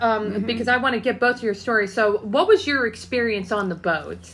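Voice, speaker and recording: A woman with an American accent talks at a fairly quick pace and a fairly high pitch. Noticeable background noise is present. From Ohio, Canton. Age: 30s. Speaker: podcast host. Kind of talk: casual interview chat.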